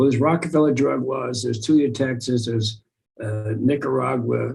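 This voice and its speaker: A somewhat breathy man speaks at a moderate pace with a medium pitch. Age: 60s. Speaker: radio host, activist and comedian. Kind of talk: interview. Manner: halting, many repetitions and fillers.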